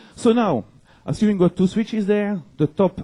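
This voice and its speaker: A man's voice with a dark, mellow tone. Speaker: network security engineer. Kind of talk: conference talk. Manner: fast.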